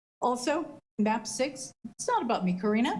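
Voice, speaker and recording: Speaking in an American accent, a woman with a somewhat breathy voice and lively intonation keeps a moderate pace amid audible room echo. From US West, West Sacramento, California. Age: 60s. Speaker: city council member. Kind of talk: council meeting debate.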